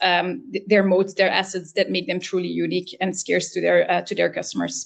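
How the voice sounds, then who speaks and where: A woman with a non-native accent talks at a fairly quick pace and a medium pitch. Her voice has vocal fry and ordinary pitch variation. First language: not English. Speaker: business consultant. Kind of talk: webinar Q&A answer. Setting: online webinar. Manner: halting, many fillers.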